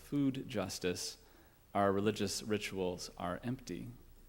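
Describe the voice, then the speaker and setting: A man uses a normal speaking voice at a fairly low pitch and fairly slow pace with fairly even intonation. The recording is very clean, with a silent background. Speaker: guest minister. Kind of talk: sermon.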